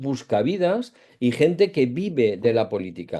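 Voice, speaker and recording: A man speaks with very wide swings in pitch and a dark, mellow tone against a quiet background. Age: 60s. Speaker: political debate panelist. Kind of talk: panel debate. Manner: hesitant, many fillers.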